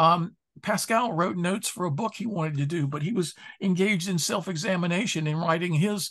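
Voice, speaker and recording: The man's pitch is high, with ordinary variation. He moves at a fairly quick pace. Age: 70s. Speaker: philosopher and author. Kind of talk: podcast interview.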